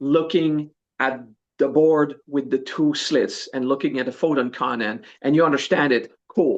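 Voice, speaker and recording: Here a man speaks with a Quebec accent. His pitch sits fairly high, over a quiet background. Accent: Québécois French accent in English. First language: French. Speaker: spiritual teacher. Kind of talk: podcast interview. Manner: hesitant, searches for English words.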